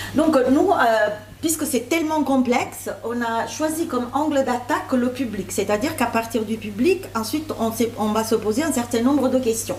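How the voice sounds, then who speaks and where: Over noticeable background noise and audible room echo, a woman speaks at a moderate pace with a fairly high pitch and ordinary pitch variation. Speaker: academic researcher. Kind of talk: conference presentation. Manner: hesitant, many fillers.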